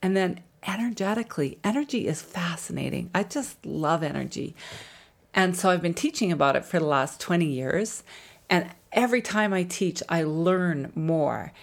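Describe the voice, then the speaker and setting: A fairly low-pitched woman with a Canadian accent, at a moderate pace with lively intonation. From Canada, Alberta (Jasper). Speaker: body-mind therapist and podcast host. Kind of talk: casual solo talk about wellness.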